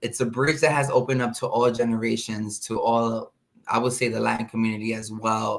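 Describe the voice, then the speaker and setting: With fairly even intonation and a medium pitch, a man talks at a fairly quick pace. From New York City, Washington Heights, Dominican family. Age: 30s. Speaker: singer. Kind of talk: interview.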